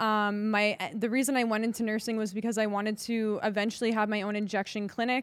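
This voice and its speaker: A woman's unremarkable speaking voice, fairly high in pitch, at a fairly quick pace. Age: 20s. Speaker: podcast co-host. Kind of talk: casual chat.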